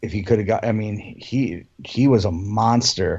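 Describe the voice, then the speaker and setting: A somewhat breathy man's voice with an American accent and ordinary pitch variation. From Philadelphia, US. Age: 50s. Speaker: music fan guest. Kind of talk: casual chat.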